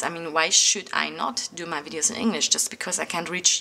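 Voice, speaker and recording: A woman talks at a moderate pace with a German accent. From Germany. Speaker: craft and art YouTuber; planner youtuber. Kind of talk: casual vlog talk to camera; casual vlog chat. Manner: hesitant, many fillers. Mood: reflective, slightly defensive.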